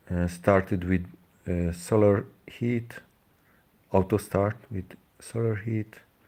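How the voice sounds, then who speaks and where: The speaker has a Hungarian accent and a dark, mellow tone. Delivery is very slow, with fairly even intonation and long, frequent pauses. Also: man, fairly low pitch for a man. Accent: Hungarian accent, non-native English. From Hungary. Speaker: DIY engine builder, YouTuber. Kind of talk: live stream demonstration. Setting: live stream. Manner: halting, many fillers.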